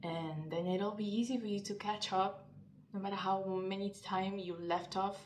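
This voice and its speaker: Someone with a Spanish accent speaks in a monotone, flat intonation against noticeable background noise and audible room echo. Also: woman, medium pitch for a woman, moderate pace. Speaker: language learning youtuber. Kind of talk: vlog-style advice talk.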